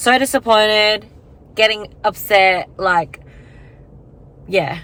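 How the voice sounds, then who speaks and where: A woman's bright, sharp tone at a very slow pace, with ordinary pitch variation. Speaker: lifestyle vlogger. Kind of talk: casual vlog monologue. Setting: in a car. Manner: rambling, hesitant with fillers.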